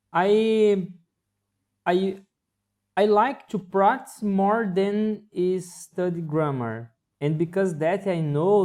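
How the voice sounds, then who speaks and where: Speaking very slowly in a Portuguese accent, the voice has a dark, mellow tone and ordinary pitch variation. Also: man. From Brazil. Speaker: English learner. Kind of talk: casual chat. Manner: halting, frequent repetitions and fillers.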